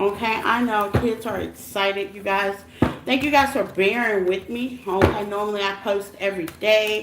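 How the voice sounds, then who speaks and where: With fairly even intonation, a woman speaks at a medium pitch against noticeable background noise. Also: moderate pace, big swings in loudness. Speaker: tarot reader. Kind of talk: live stream tarot reading chat. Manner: loud.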